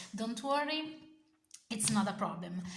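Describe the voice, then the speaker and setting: A woman speaks in a fairly high voice with lively intonation. Audible room echo surrounds her words. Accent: Italian. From Italy. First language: Italian. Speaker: tarot content creator. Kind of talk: casual video review. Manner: halting, many fillers and self-corrections.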